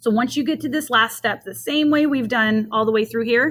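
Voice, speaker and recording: A woman's fairly high-pitched voice with vocal fry. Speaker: math teacher. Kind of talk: tutorial. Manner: fast.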